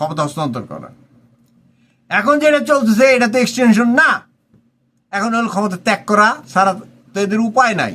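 A man with a high pitch speaks in a raised, projected voice. His tone is bright and sharp, with lively intonation. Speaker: political commentator. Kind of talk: political commentary monologue.

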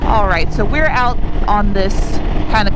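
A woman is speaking. The sound is dry with no echo, and loud background noise is present. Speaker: motorcycle vlogger. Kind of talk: casual vlog chat. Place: motorbike. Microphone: helmet.

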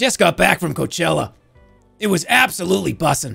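Over faint background music, a man puts on a character voice at a high pitch and a fairly quick pace. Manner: evenly paced, computer-like.

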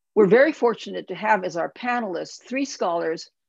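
A woman is speaking. The background is quiet and the sound is dry, with no echo. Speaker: academic center co-director. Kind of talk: event introduction.

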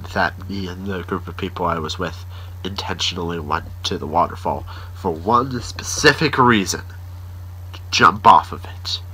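The speaker uses fairly even intonation and a fairly slow pace. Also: man. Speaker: daily vlogger. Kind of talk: casual vlog chat. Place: home room. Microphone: phone near.

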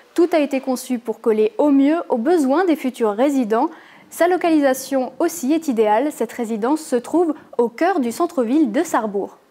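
Amid noticeable background noise, a woman with a high pitch talks at a moderate pace, her loudness very even and her pitch variation ordinary. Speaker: news presenter. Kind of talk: news reading, scripted bulletin. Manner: formal, even-paced, neutral; clear, measured, informative.

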